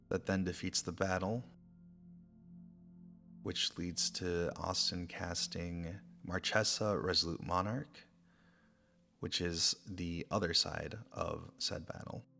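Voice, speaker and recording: With music in the background, a man with a very deep, low pitch speaks very slowly, using fairly even intonation and long, frequent pauses. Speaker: ASMR creator, game narrator. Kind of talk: card game play-by-play narration.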